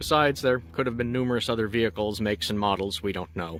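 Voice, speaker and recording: A man with a Canadian accent at a very fast pace. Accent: sounds Canadian. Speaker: movie car replica owner. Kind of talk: casual walkaround tour to camera. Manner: casual, uses filler words like so and actually.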